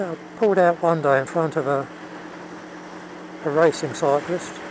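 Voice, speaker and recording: Amid noticeable background noise, a man with a fairly high pitch talks at a moderate pace with fairly even intonation. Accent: southern English. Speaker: motorcycle vlogger. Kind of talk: casual vlog monologue. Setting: outdoors riding a motorbike. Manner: halting.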